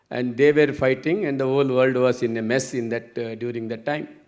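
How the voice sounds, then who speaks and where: The recording carries audible room echo. A man talks at a fairly quick pace with fairly even intonation. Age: 70s. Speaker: entrepreneur and engineer. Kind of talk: conference talk. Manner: halting.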